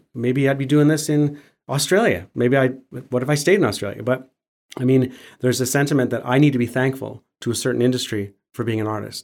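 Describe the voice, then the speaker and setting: The speaker talks at a fairly quick pace with a Western Canadian accent. The recording is very clean, with a silent background. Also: man. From Canada, Alberta (Calgary). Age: 50s. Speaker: muralist and public artist. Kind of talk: casual chat. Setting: studio.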